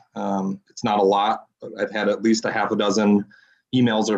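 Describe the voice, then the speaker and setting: Against a quiet background, a man speaks at a moderate pace. His fairly low voice is monotone and flat. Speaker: citizens council representative. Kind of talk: public meeting report. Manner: loud.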